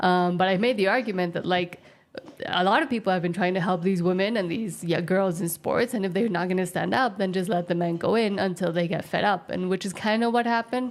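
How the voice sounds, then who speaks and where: A woman at a fairly quick pace, medium in pitch with ordinary pitch variation, over noticeable background noise. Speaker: co-host of a news commentary livestream. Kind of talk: casual political chat. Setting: off camera, voiceover on livestream.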